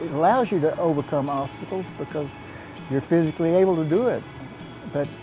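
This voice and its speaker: Over music in the background, a man with a Texan accent and a high pitch talks at a very fast pace, with ordinary pitch variation and long, frequent pauses. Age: 80s+. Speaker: powerlifter. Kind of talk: interview.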